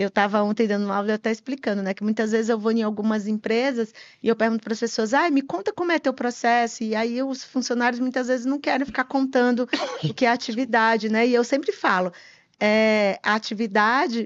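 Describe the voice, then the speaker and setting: Fairly high pitch and a fairly quick pace from a woman, her pitch varying in an ordinary way. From Brazil, Piauí. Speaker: tax compliance consultant, company partner. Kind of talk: podcast interview. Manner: halting, repeats words.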